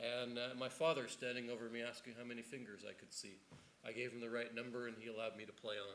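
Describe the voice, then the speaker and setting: A man talks very fast at medium pitch with a Canadian accent and monotone, flat intonation. Noticeable background noise and audible room echo are present. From Canada. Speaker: neuroscience researcher. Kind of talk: panel discussion. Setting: stage with audience. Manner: halting, many repetitions.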